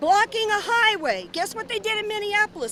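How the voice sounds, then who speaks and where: With ordinary pitch variation, this woman talks at a fairly quick pace against noticeable background noise. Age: 60s. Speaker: rally attendee. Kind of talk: street interview. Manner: animated.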